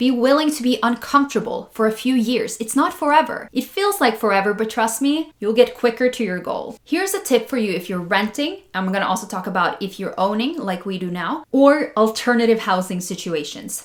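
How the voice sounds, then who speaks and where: In a Norwegian accent, a woman with a fairly high pitch talks at a fairly quick pace in an animated tone, her intonation lively and her speech with hardly any pauses, over noticeable background noise. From Norway, Oslo. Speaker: personal finance YouTuber. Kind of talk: casual advice talk to camera.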